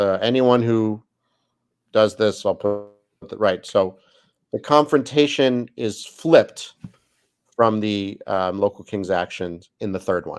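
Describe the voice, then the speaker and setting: Against music in the background, a man with a fairly low pitch talks at a fairly slow pace, with ordinary pitch variation, big swings in loudness, and long, frequent pauses. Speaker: rabbi and Bible study host. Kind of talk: Bible study lecture.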